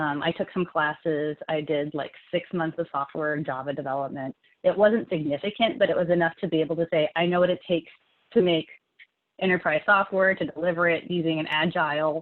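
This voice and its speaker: Her pitch fairly low and her intonation fairly even, a woman talks at a fairly quick pace. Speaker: tech industry engineer, guest speaker. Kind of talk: webinar talk and Q&A answer. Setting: video call. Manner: fast.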